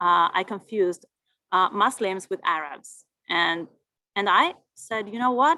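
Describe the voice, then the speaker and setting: A woman's bright, sharp voice with an Argentine accent, lively intonation and a moderate pace, in a dry, close sound with no echo. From Argentina. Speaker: Spanish teacher. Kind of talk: interview.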